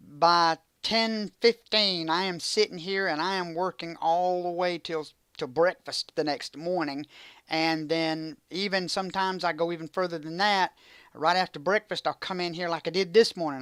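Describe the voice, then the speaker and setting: On a very clean recording with a silent background, a woman with a fairly low pitch speaks at a moderate pace with fairly even intonation. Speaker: retro gaming streamer. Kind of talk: casual live stream monologue. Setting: home streaming setup. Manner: halting; loud.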